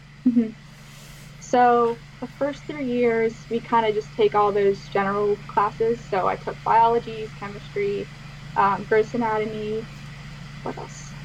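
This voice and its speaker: A woman with an American accent speaks at a fairly slow pace and a medium pitch, her intonation lively, with long, frequent pauses and noticeable background noise. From Pittsburgh area, US. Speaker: physician assistant student. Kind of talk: casual interview.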